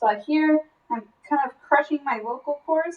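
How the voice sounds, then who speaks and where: A woman's strained, high-pitched, put-on character voice at a moderate pace. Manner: strained, squeezed.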